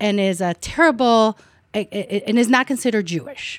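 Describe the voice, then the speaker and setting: Recorded dry and close with no echo, a woman speaks at a medium pitch with an Israeli accent. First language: Hebrew. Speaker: political science professor. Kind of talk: academic panel discussion.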